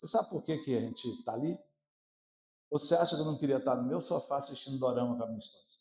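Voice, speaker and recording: Very fast and animated, a man speaks at a fairly high pitch. His voice is somewhat breathy, with ordinary pitch variation. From Brazil, Maranhão (São Luís). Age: 60s. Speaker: pastor. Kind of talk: sermon. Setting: church.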